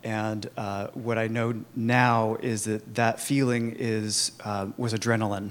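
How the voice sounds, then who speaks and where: Very slowly and in a flat monotone, a man speaks at a medium pitch. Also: hardly any pauses. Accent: Californian. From US, Sacramento suburbs. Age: 30s. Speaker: Al-Anon speaker. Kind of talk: recovery testimony. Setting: conference talk with audience.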